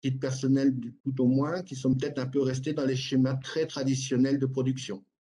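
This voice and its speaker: This is a man talking. His pitch sits in the medium range. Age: 60s. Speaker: livestock farmer. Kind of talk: panel debate. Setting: live online debate. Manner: halting.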